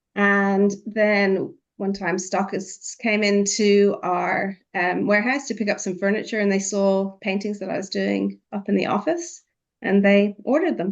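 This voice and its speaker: Ordinary pitch variation marks a woman's medium-pitched speech. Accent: Irish. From Ireland. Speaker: artist. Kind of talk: podcast interview.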